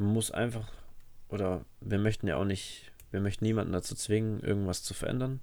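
Audible room echo surrounds a man whose fairly low, dark, mellow voice moves at a fairly quick pace. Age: 20s. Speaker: podcast co-host, personal trainer. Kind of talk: casual chat. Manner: animated.

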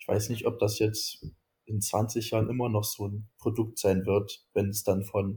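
On a very clean recording with a silent background, a man with a dark, mellow, somewhat breathy tone speaks at a fairly slow pace in a fairly low pitch with monotone, flat intonation. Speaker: student, youth activist. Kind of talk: interview.

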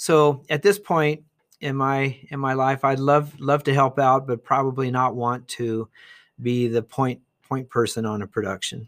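In a very clean recording with a silent background and a dry, close sound with no echo, a man with an American accent speaks in an ordinary speaking voice at a medium pitch, with ordinary pitch variation and a fairly slow pace. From Ohio, US Midwest. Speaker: retired teacher. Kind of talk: interview, casual storytelling.

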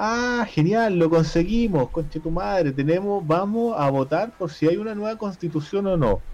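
A man with a Chilean accent and high pitch, lively intonation, a moderate pace and hardly any pauses. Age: 30s. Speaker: podcast co-host. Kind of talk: casual chat. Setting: home.

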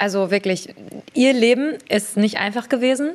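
A woman's voice, a normal speaking voice, at a moderate pace with ordinary pitch variation. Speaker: beauty entrepreneur. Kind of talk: casual chat.

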